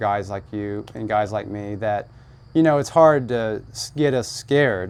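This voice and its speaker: In an American accent, a man speaks fairly slowly at medium pitch in an ordinary speaking voice. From US South, Georgia. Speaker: haunted house owner. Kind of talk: casual interview.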